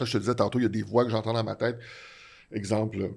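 This man speaks in a Quebec accent at a fairly low pitch, with vocal fry and monotone, flat intonation. The recording is very clean, with a silent background. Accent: Québécois French. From Quebec (Laval). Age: 60s. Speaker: comedy TV writer. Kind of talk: casual interview. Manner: halting, many repeated words.

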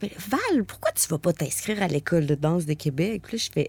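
Her voice is an unremarkable speaking voice, a woman's at medium pitch. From Quebec, Stoneham near Quebec City. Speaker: contemporary dancer and body percussion artist. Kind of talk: casual interview chat.

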